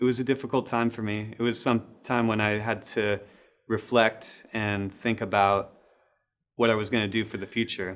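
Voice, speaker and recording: The recording is very clean, with a silent background. A man with an American accent speaks at a moderate pace and medium pitch, in a monotone, flat intonation. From US Pacific Northwest, Seattle. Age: 40s. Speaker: student. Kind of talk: interview testimony.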